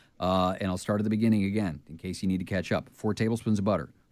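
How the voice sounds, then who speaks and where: A fairly low-pitched man's voice on a very clean recording with a silent background. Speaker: radio host. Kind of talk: radio show, reading a recipe. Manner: fast.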